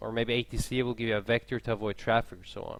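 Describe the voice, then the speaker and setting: A man talks with a Swedish accent. His pace is very fast. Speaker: airline pilot streaming a live tutorial. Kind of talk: live-stream tutorial. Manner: casual, halting.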